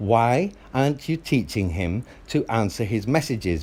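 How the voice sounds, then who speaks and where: The voice is loud with a dark, mellow tone, moving at a moderate pace through very wide pitch swings. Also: man. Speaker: father in custody dispute. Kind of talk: heated phone argument.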